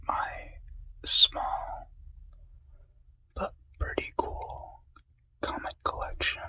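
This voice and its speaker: A man whispers at a very slow pace. He takes long, frequent pauses. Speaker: ASMR creator. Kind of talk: ASMR whispered talk to camera. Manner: whispered.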